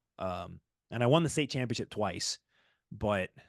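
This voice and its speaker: Recorded dry and close with no echo against a quiet background, a man speaks in an ordinary speaking voice at a medium pitch, with lively intonation and a moderate pace. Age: 20s. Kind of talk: casual interview answer.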